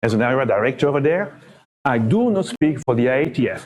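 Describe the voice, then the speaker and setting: A man speaks with a French accent. His intonation is lively. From Belgium. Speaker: internet standards body area director, conference speaker. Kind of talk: conference talk. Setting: conference room with audience.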